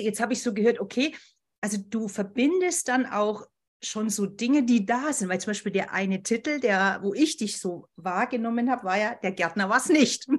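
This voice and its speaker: Fairly high in pitch, a woman talks with lively intonation at a moderate pace. She has an ordinary speaking voice. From Bavaria, Berchtesgaden. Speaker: podcast host. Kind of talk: casual interview.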